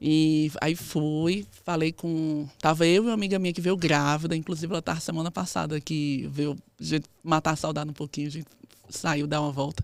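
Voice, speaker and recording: This woman has a very deep, low pitch and fairly even intonation. She talks at a fairly quick pace. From Northeast Brazil, Campina Grande, Paraíba. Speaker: physiotherapist and researcher. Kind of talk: interview.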